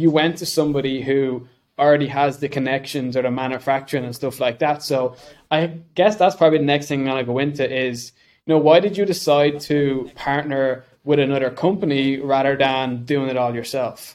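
Talking at a fairly quick pace, a man with an Irish accent has a fairly high pitch. His intonation is fairly even. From Ireland. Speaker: podcast co-host. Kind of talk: casual interview chat.

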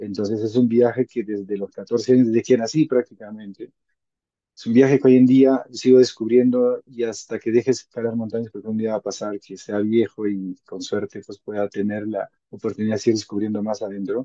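A man with a medium pitch talks fairly quickly in a flat, monotone way, his dark, mellow tone rising and falling sharply in loudness within a dry, close sound that has no echo. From Peru, Huaraz (Andes). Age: 30s. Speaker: mountaineer and mountain guide. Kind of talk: interview testimony.

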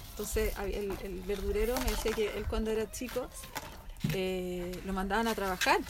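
This woman's voice is fairly high and her pace moderate. Noticeable background noise and audible room echo fill the recording. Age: 40s. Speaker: podcast co-host. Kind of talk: casual chat.

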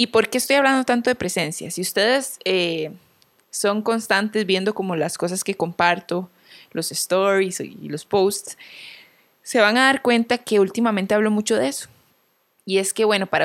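Here a woman speaks with a normal speaking voice at a medium pitch and a moderate pace. Her pitch varies in an ordinary way, on a very clean recording with a silent background. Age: 30s. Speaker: podcast host. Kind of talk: solo reflective monologue.

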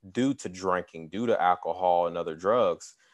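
A man's fairly low voice, with fairly even intonation and a moderate pace, against a quiet background. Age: 20s. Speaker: podcast co-host and graphic designer. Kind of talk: casual chat. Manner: halting, many fillers.

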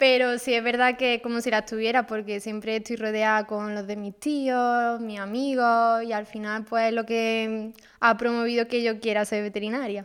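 Recorded very cleanly against a silent background, a woman with a fairly high pitch speaks at a moderate pace in a monotone, flat way, with hardly any pauses. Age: 20s. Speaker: veterinary student. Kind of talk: casual interview.

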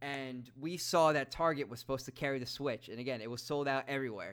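A man with a New York accent at a very fast pace, his tone bright and sharp, medium in pitch with ordinary variation, on a very clean recording against a silent background. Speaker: podcast host. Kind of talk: casual chat.

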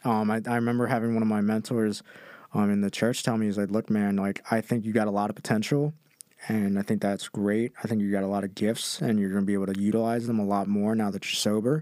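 A man with an American accent talks very fast in a monotone, flat way at a fairly low pitch, his tone dark and mellow. The recording is very clean, with a silent background. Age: 20s. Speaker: podcast guest. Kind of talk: casual chat.

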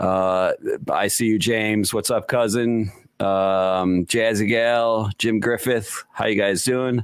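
Very slow and monotone, a man speaks in flat intonation at a fairly low pitch. His loudness stays very even. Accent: slight Chicago. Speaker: podcast host. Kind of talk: casual chat.

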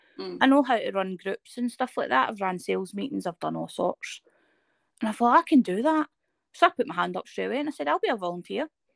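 Recorded dry and close with no echo, a woman speaks in a Scottish accent. Her pace is very fast. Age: 30s. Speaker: person living with a chronic illness. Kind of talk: casual interview. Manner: sometimes stutters.

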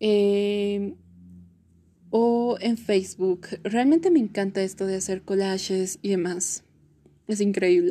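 Speaking at a very slow pace with long, frequent pauses, a woman has a dark, mellow tone at medium pitch. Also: ordinary pitch variation. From Bolivia. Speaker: podcaster, psychomotricity student. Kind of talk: casual monologue.

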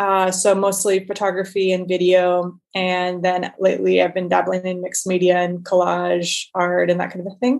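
A woman with an American accent speaks at a medium pitch in monotone, flat intonation. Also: moderate pace. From Northern California. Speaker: artist and creative program leader. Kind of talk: casual interview conversation.

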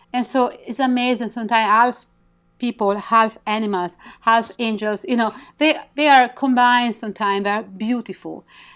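Against a quiet background, the speaker has a strong Italian accent, a moderate pace and fairly even intonation. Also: woman, fairly high pitch for a woman. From Italy; Milan, Italy. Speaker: intuitive healer and author. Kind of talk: interview, conversational, guiding an activation. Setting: video call. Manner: halting, broken English with pauses.

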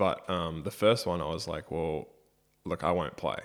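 A man with an Australian accent speaks in a very deep, low voice on a very clean recording with a silent background. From Australia, Brisbane. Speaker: professional basketball player. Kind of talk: casual interview chat. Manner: many filler ums.

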